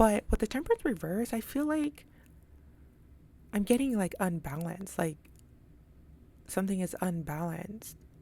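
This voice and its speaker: A dark, mellow, somewhat breathy tone with very wide pitch swings and long, frequent pauses. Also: woman, medium pitch for a woman. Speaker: tarot reader. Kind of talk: tarot reading monologue. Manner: fast; casual, filler-heavy.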